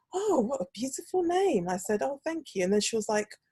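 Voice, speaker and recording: With a slight British accent, a somewhat breathy woman speaks with very wide pitch swings in a dry, close recording with no echo. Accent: slight British twang. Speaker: podcast host, speech therapist. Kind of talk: casual chat. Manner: animated.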